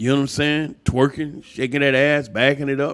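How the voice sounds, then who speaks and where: A man speaks at a fairly high pitch. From US South, Atlanta, Georgia. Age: 60s. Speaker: YouTuber, relationship commentator. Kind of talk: monologue rant. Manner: animated.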